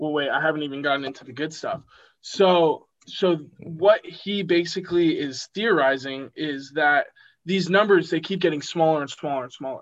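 In an ordinary speaking voice, a man with a fairly high pitch talks at a moderate pace with ordinary pitch variation and big swings in loudness against a quiet background. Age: young. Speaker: college student and amateur rapper. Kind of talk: casual chat.

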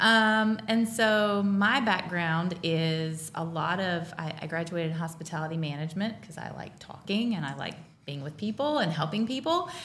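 Speaking with an American accent, a woman with a fairly low pitch uses lively intonation at a moderate pace, with hardly any pauses, big swings in loudness, and noticeable background noise. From North Carolina. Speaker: professional organizer. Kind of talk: casual chat.

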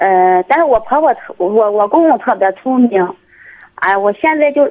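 This woman's intonation is lively. She keeps a moderate pace. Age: 20s. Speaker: caller. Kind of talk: call-in advice chat. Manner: halting.

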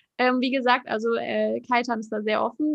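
This is a woman speaking with a high pitch. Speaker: podcast host. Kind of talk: casual interview chat.

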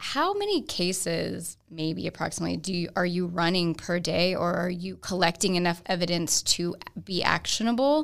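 A very clean recording of a woman, the background silent. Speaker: podcast co-host. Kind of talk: casual interview conversation. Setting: studio.

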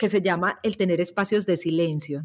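Moderately paced speech from a woman, its pitch varying in an ordinary way. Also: very clean recording, silent background. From Latin America, born in Peru, Argentine-Colombian parents. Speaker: journalist and happiness coach. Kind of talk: interview. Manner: talkative.

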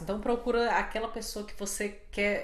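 Medium-pitched female speech in audible room echo. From Brazil, Fortaleza. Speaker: podcast co-host. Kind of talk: casual chat.

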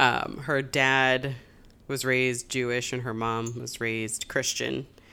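A woman speaks with an American accent at a very deep, low pitch. Her tone is bright and sharp, her intonation monotone and flat. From Springfield, Massachusetts. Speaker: book podcast co-host. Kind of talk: casual chat.

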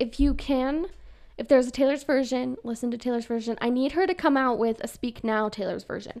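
A woman speaks in a high voice with a Utah accent. She talks at a fairly quick pace. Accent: Utah, in how she says her G's. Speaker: podcast co-host, student. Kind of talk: casual chat.

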